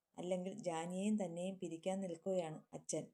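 Natural-voiced reading aloud

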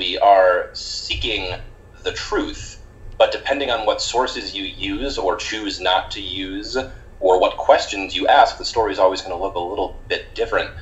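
With an American accent, the speaker talks at a moderate pace, loudness swinging widely, against noticeable background noise. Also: man. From US Northeast. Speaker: history PhD candidate. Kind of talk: casual chat.

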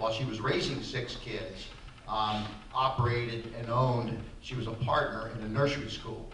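With audible room echo and light background noise, a man speaks at a moderate pace with fairly even intonation. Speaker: interview guest. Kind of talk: interview answer. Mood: relaxed reminiscing. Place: hall.

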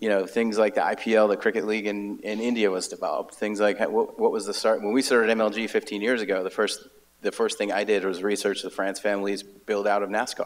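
Hardly pausing, a man talks at a fairly quick pace with monotone, flat intonation. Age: 40s. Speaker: esports executive; panelist. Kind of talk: panel discussion. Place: hall. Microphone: handheld.

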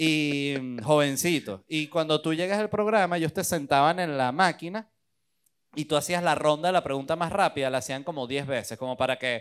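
Here a man's fairly high voice carries lively intonation. He talks at a moderate pace. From Venezuela. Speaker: stand-up comedian. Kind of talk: interview. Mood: relaxed, joking storytelling. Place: studio. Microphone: handheld.

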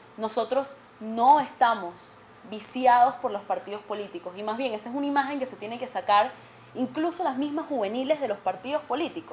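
A woman's high-pitched voice at a fairly quick pace, with ordinary pitch variation, big swings in loudness and light background noise. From Venezuela. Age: 20s. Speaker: student representative; guest. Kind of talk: TV interview. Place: studio.

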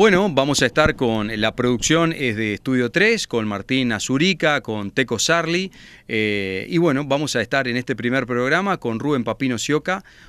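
Lively intonation runs at a moderate pace with hardly any pauses, in a dry, close sound with no echo. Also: man, medium pitch for a man, very clean recording, silent background. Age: young. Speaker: TV presenter. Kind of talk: interview. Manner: hesitant fillers.

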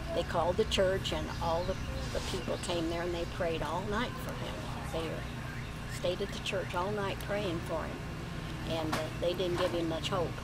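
Loud background noise surrounds a woman speaking at a moderate pace. She takes long, frequent pauses. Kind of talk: storytelling to family. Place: garden. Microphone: camera far.

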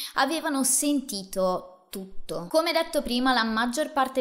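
In a serious tone, a woman speaks at a fairly slow pace over a quiet background. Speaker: true crime host. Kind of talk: true-crime narration, solo monologue to camera. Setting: video channel, solo presenter. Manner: measured, serious storyteller pacing with emphatic asides; casual, chatty, addressing viewers directly. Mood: serious, dramatic storytelling. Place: home room. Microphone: studio mic.

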